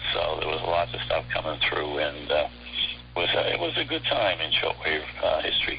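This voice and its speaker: Delivered at a moderate pace, the talking competes with noticeable background noise. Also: man. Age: 70s. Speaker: shortwave radio hobbyist. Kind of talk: interview. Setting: phone call. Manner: casual, with many fillers.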